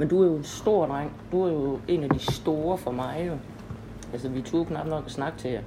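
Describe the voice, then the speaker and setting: Ordinary pitch variation at a fairly slow pace, with audible room echo and noticeable background noise. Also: woman, very deep, low pitch for a woman. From Denmark, Horsens (East Jutland). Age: 50s. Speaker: local history podcast host. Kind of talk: interview, casual chat. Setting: home visit interview.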